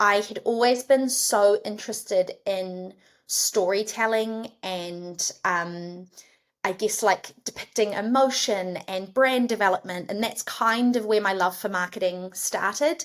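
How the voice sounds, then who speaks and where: A woman's medium-pitched voice with a New Zealand accent, at a fairly slow pace with ordinary pitch variation. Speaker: head of marketing. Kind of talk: podcast interview.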